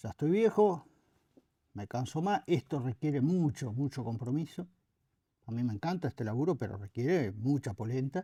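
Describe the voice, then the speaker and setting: With a Uruguayan accent, the speaker has a dark, mellow, somewhat breathy tone and lively intonation at a moderate pace, on a very clean, dry, close recording with a silent background and no echo. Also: man, medium pitch for a man. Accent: Rioplatense Spanish (Uruguayan). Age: 70s. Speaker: former anti-corruption official. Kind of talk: interview. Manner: hesitant, frequent fillers.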